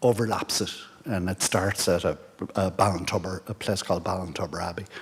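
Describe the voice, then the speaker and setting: A man with an Irish accent and a very deep, low pitch talks at a moderate pace. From Ireland, County Mayo. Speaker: guest speaker, pilgrimage society member. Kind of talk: presentation to an audience. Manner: halting, many fillers and restarts.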